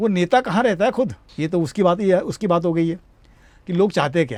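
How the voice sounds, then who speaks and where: With a high pitch, a man talks using lively intonation. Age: 60s. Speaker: retired air force veteran, teacher and satirist. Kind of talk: interview. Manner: animated; halting.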